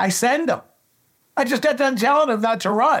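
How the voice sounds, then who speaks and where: Animated and with very wide pitch swings, a man talks at a moderate pace in a Pittsburgh accent. The recording is very clean, with a silent background. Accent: Western Pennsylvania (Pittsburgh) American. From Pittsburgh, Pennsylvania. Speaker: baseball coach and scout. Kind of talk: interview. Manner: animated, emotional.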